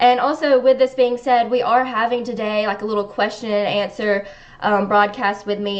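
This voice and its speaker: A woman speaks in a Southern accent with a fairly high pitch. Her intonation stays fairly even at a moderate pace. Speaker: online news show host. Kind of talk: live stream commentary.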